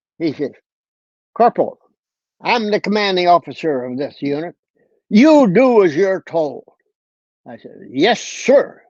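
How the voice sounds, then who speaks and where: A man's high voice with very wide pitch swings and big swings in loudness, fairly slow with long, frequent pauses, dry and close with no echo over a quiet background. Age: 80s+. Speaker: war veteran. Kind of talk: storytelling interview.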